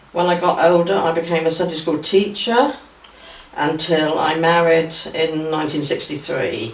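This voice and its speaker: A woman speaks at a very deep, low pitch and a moderate pace, with ordinary pitch variation. Audible room echo and noticeable background noise fill the recording. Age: 80s. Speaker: church member sharing memories. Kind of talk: reminiscence interview.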